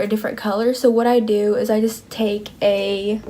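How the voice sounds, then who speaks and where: At a fairly high pitch, a woman talks in a plain, everyday voice. She keeps a moderate pace with fairly even intonation. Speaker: beauty vlogger. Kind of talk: product review. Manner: casual.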